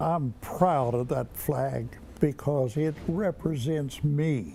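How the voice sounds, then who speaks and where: A man with a fairly high pitch speaks at a very slow pace, with ordinary pitch variation. His tone is dark and mellow, and somewhat breathy. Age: 80s+. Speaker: war veteran. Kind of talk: testimony.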